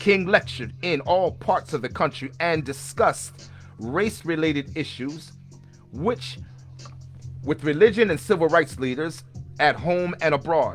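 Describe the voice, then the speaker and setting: Fairly slow speech with long, frequent pauses and music in the background. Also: man, fairly high pitch for a man, ordinary pitch variation. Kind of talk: biographical history narration.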